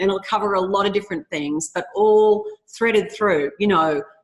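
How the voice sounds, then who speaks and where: This woman has an Australian accent and a medium pitch. She talks at a moderate pace with ordinary pitch variation. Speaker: author. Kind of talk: interview.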